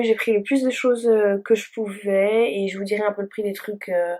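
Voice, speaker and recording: At a very slow pace, a woman speaks with ordinary pitch variation. Her pitch is fairly high. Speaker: beauty vlogger. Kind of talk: makeup tutorial chat. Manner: hesitant, many fillers.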